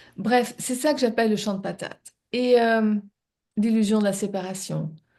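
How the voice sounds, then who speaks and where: A woman's dark, mellow voice at a fairly slow pace, with fairly even intonation. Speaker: spiritual coach and live show co-host. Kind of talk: reflective live-stream talk. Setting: live stream. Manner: halting, many repetitions and hesitations.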